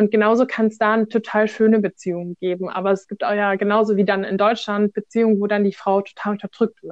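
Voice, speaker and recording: Talking at a very fast pace with hardly any pauses, a woman keeps a monotone, flat intonation at medium pitch. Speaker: volunteer with refugees. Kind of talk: casual interview.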